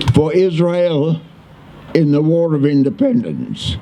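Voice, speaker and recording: This man's speech is very slow. Background noise is noticeable throughout. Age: 80s+. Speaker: war veteran. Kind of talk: memorial speech.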